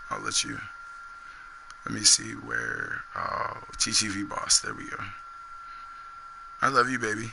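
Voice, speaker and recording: Noise in the background is noticeable. Through it, a man talks. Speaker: gaming streamer. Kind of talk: live stream chat. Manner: animated.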